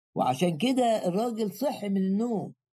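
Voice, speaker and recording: A man with an Egyptian accent speaks at a fairly slow pace in a high pitch, with ordinary pitch variation and a dark, mellow tone. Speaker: preacher. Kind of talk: sermon.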